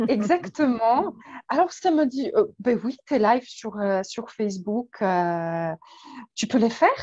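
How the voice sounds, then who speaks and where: At a very slow pace, a woman speaks fairly high with very wide pitch swings. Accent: Polish. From Poland. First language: Polish (speaking French). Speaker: weight and emotions coach. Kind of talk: interview. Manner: hesitant, many fillers.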